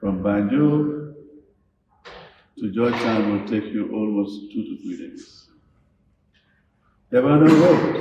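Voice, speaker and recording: A man with a dark, mellow tone speaks at a very slow pace, with long, frequent pauses and big swings in loudness. His medium pitch shows ordinary variation, his voice is somewhat breathy, and audible room echo surrounds it. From Gambia. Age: 70s. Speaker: speaker on national affairs. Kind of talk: lecture.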